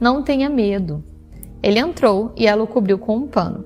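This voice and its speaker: Music plays in the background as a woman with a fairly high pitch and lively intonation talks at a fairly slow pace. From Rio de Janeiro, Brazil. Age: 20s. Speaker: teacher. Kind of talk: Bible reading.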